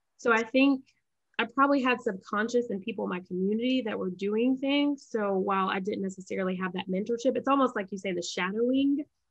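Over a quiet background, a woman with an American accent talks at a very fast pace, with a fairly high pitch and ordinary pitch variation. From US South, Charlotte, North Carolina. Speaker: physician and entrepreneur; podcast guest. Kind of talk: casual interview. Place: home room. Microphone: webcam.

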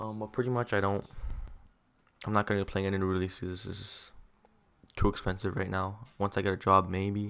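At a moderate pace, a man speaks with a low pitch, vocal fry and little pitch movement, leaving long, frequent pauses. His tone is clear, smooth and fairly bright, on a very clean recording with a silent background.

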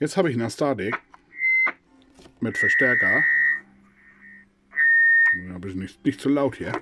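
With big pitch swings and a bright, sharp tone, a man at medium pitch speaks at a moderate pace with a slightly husky edge.

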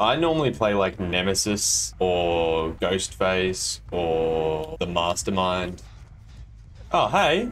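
A man with an Australian accent speaks at a very slow pace in a very deep, low voice. His intonation is lively, and there is light background noise. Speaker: gamer. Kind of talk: casual gameplay commentary. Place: home room.

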